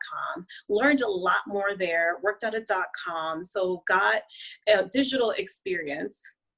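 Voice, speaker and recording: Ordinary pitch variation marks a woman's medium-pitched voice. She speaks at a fairly slow pace. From Honduras, raised in the US. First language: Spanish. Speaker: marketing and branding strategist. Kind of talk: interview.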